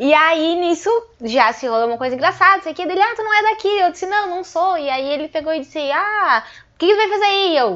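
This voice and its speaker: Her pitch is extremely high, and it swings very widely. The woman speaks at a fairly quick pace. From Passo Fundo, Rio Grande do Sul, Brazil. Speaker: stand-up comedian. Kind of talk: casual interview chat.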